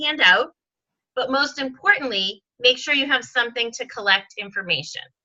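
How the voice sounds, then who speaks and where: A woman speaks in a raised, projected voice at a high pitch with a bright, sharp tone. Her intonation is lively and her pace fairly quick. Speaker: sales team leader and trainer. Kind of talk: training session on video call. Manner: lots of fillers.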